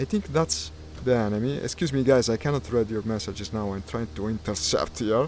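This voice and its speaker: A man with an Italian accent talks at a moderate pace and a medium pitch. His pitch swings very widely. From Italy. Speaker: gaming streamer. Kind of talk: live gameplay commentary. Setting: live stream with VR headset. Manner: hesitant, with fillers.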